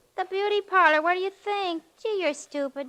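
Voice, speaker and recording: Here is a put-on character voice, squeaky and extremely high in pitch. It moves at a moderate pace. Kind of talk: 1940s radio acting. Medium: old radio play. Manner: gruff, clipped, sarcastic.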